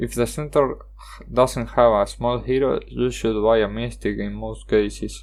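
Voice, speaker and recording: Fairly slow speech with a Spanish accent. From Argentina. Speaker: gaming YouTuber. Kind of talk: card game review monologue. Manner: halting, with self-corrections.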